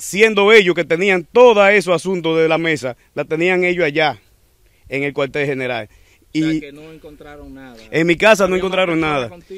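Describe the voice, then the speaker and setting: A man with a high pitch talks at a moderate pace and ordinary pitch variation. The background is quiet, and the sound is dry with no echo. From Dominican Republic. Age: young. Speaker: motorcycle taxi driver; interviewee. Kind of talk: testimony. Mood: aggrieved, indignant. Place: street. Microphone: handheld.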